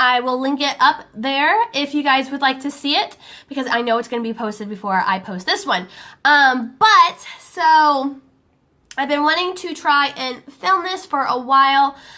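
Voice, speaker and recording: Projecting her voice with a bright, sharp tone, a woman speaks at a fairly slow pace with high pitch and lively intonation on a very clean recording with a silent background. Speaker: beauty vlogger. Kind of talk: tutorial. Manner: casual, hesitant with many fillers.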